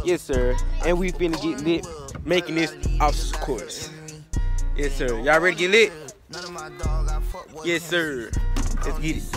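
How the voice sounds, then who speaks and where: With clear music in the background, a man speaks at a moderate pace with long, frequent pauses, the sound dry with no echo. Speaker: vlogger. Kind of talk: casual vlog chat. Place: garden. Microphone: phone near.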